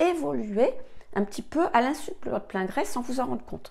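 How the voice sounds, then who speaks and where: At a fairly slow pace, a woman with medium pitch speaks with vocal fry. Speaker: astrology teacher. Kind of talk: tutorial. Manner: hesitant with frequent fillers.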